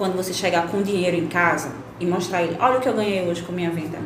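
Noticeable background noise and audible room echo are present throughout. Over them, a woman speaks at a very fast pace. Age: 30s. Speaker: biologist and entrepreneur. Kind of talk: interview.

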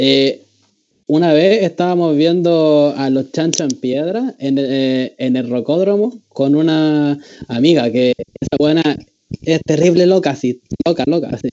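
At a fairly slow pace, a man with a Chilean accent speaks at a fairly high pitch. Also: ordinary pitch variation. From Chile, Valparaíso. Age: 20s. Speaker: student guest. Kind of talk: casual chat.

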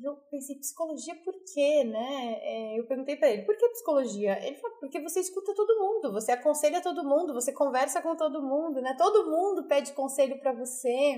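A woman speaks at a fairly quick pace with hardly any pauses. Her voice is high-pitched, with lively intonation. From Brazil, Mato Grosso do Sul (Nova Andradina). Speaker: psychologist and leadership trainer. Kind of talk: interview, telling her life story. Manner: hesitant, many fillers.

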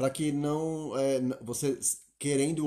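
A man speaks at a very slow pace with a fairly high pitch. His tone is dark and mellow. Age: 30s. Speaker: podcast co-host. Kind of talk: casual chat.

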